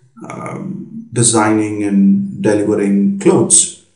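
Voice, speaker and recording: With music in the background and audible room echo, a man speaks at a fairly low pitch with ordinary pitch variation. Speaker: business consultant. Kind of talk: lecture. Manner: hesitant, many fillers.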